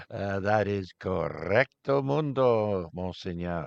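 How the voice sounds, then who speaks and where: A man with a French Canadian accent speaks at a fairly low pitch with very wide pitch swings. The sound is dry and close, with no echo. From Ottawa-Gatineau Valley, Canada. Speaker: amateur radio net controller. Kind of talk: radio net trivia hosting. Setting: amateur radio broadcast with YouTube stream.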